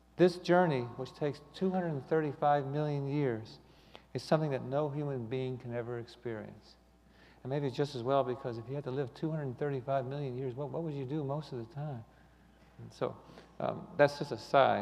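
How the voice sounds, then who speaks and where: A man speaks at a fairly high pitch and a fairly quick pace. His intonation is fairly even. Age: 60s. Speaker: lay speaker giving a talk on astronomy. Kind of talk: sermon. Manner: halting, many fillers and repeats.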